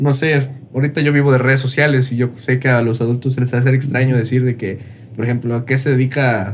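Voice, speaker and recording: Speaking at a fairly quick pace, a man holds a medium pitch in a monotone, flat intonation. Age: 20s. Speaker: motivational content creator. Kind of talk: casual interview.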